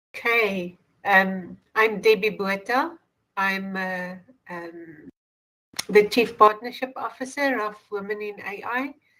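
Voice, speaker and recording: A woman with a South African accent talks at a very slow pace in a medium pitch, with ordinary pitch variation. Her tone is bright and sharp, and her loudness swings widely. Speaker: AI organization executive. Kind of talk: panel discussion.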